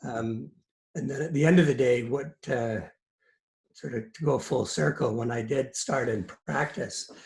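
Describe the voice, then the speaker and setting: This voice moves at a fairly slow pace, with lively intonation and vocal fry. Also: man, medium pitch for a man. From Scotland, Edinburgh; raised in Canada from early 70s. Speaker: lawyer, business network president. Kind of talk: interview. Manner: hesitant, many fillers.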